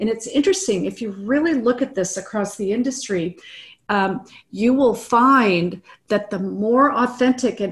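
Somewhat breathy, a woman speaks at a fairly high pitch with ordinary pitch variation. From US Midwest. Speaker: realtor and business coach. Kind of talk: interview. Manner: animated.

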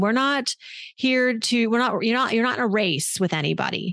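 A woman with a plain, everyday voice speaks at a fairly high pitch with lively intonation. The sound is dry and close with no echo, over a quiet background. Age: 40s. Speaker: personal finance journalist. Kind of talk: casual chat.

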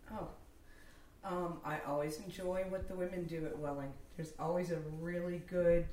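Against noticeable background noise, a woman talks at a moderate pace with long, frequent pauses. Her fairly low voice is monotone and flat. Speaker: podcast co-host. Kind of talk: casual podcast chat.

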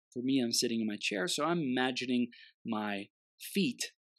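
In a very clean recording with a silent background, a man with a plain, everyday voice speaks at medium pitch with ordinary pitch variation, the sound dry and close with no echo. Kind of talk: guided meditation. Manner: slow, soothing, calm and gently paced with pauses; warm, encouraging, nurturing.

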